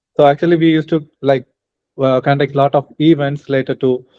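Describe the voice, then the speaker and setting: Flat and monotone, a man with an Indian accent speaks at a fairly high pitch. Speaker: international student and student mentor. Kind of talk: interview conversation. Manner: hesitant, many fillers.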